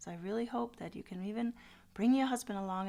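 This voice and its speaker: A woman speaks with a Danish accent. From Denmark. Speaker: podcaster. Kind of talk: channel introduction monologue.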